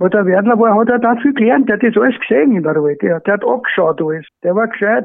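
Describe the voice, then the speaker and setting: A man with a high pitch, lively intonation and very even loudness, at a very fast pace with hardly any pauses. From Austria. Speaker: retired horse racing trainer. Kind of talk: surprise phone greeting. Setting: phone call. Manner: halting.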